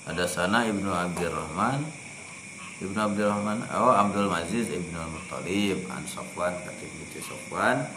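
Noticeable background noise surrounds a man speaking at a moderate pace in a fairly low pitch. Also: ordinary pitch variation, big swings in loudness. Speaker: religious teacher. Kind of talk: study session reading hadith aloud.

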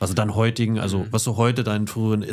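On a very clean recording with a silent background, a man speaks in a fairly low voice. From Lower Saxony, Germany. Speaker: podcast co-host. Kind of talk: casual interview.

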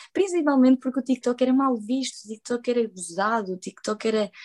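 At a fairly quick pace, the voice moves along. Its dark, mellow tone shows ordinary pitch variation. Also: woman, dry, close sound with no echo. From Portugal. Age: 20s. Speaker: social media content creator. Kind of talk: casual interview. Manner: animated.

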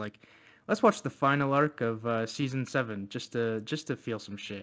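In a very clean recording with a silent background, a man at a medium pitch has a plain, everyday voice and fairly even intonation. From Canada. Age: 20s. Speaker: podcast co-host. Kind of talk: casual chat.

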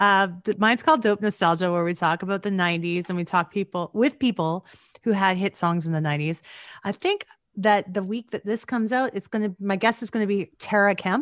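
In an ordinary speaking voice, a woman talks at a fairly quick pace and medium pitch with ordinary pitch variation, the sound dry and close with no echo against a quiet background. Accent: Canadian. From Alberta, Canada (Gibbons). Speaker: podcast co-host. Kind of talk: casual chat.

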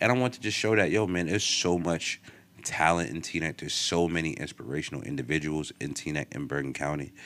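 With vocal fry and a very deep, low pitch, a man talks in an animated tone at a fairly quick pace. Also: lively intonation. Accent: American. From northern New Jersey, Teaneck area. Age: 30s. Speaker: podcast host. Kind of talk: casual chat.

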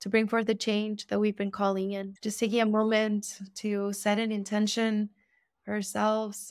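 With a Spanish accent, a woman speaks at a moderate pace in a fairly high pitch and a monotone, flat intonation. The recording is very clean, with a silent background. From Argentina. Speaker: ceremonial cacao educator. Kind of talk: interview; guided blessing.

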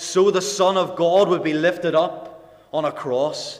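With a Northern Irish accent, a man speaks in a high pitch and a monotone, flat intonation amid noticeable background noise. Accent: Northern Irish (Ulster). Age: 20s. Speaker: lay preacher. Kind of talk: sermon. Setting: gospel hall with congregation.

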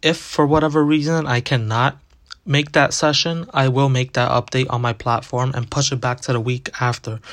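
In a plain, everyday voice, a man with a medium pitch speaks at a moderate pace with fairly even intonation. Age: young. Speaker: podcast host. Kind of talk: solo podcast monologue.

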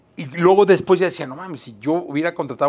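At a very fast pace, a man talks with high pitch. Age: 50s. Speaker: podcast host. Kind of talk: casual chat.

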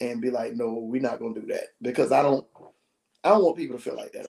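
This man's pitch sits fairly high and varies in an ordinary way, in a plain, everyday voice. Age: 30s. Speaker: podcast co-host and preacher. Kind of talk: casual chat.

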